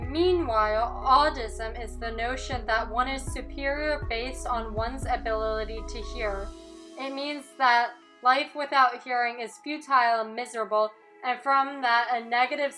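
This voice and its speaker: A woman speaks in a high pitch with ordinary pitch variation. Music plays in the background. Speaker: deaf student narrator. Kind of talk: personal digital story narration.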